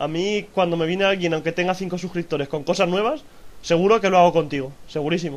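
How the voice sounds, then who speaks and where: Pitched high, a man's voice keeps fairly even intonation. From Madrid, Spain. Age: 20s. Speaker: YouTuber. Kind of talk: casual chat.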